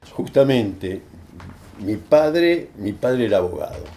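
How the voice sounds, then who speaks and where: A man with a dark, mellow tone and lively intonation speaks at a fairly slow pace. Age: 80s+. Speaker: human rights lawyer. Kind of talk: interview answer.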